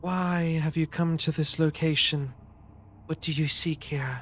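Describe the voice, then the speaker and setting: The delivery is a put-on character voice at a fairly slow pace. Clear background noise sits behind it. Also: man, fairly high pitch for a man. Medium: actual play. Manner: grave and accusing.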